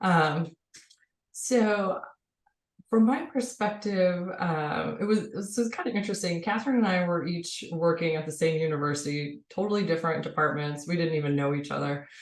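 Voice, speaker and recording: Lively intonation carries a woman's voice at a fairly low pitch. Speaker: public health academic. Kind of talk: panel discussion. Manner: fast.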